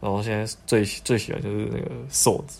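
In a Taiwanese accent, a man with a fairly low pitch speaks at a moderate pace, and room echo is audible. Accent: Taiwanese Mandarin. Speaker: podcast host. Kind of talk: casual chat.

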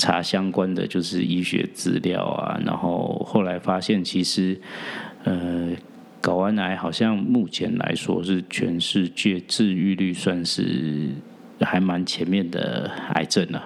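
A man with a very deep, low pitch speaks at a very slow pace with fairly even intonation against noticeable background noise. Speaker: podcast host and real estate agent. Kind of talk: personal storytelling monologue.

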